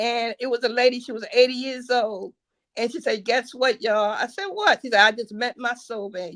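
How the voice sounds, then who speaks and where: Dry and close with no echo, a woman's high-pitched voice comes at a moderate pace with ordinary pitch variation. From New Jersey. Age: 60s. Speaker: caller. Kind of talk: casual chat. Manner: halting.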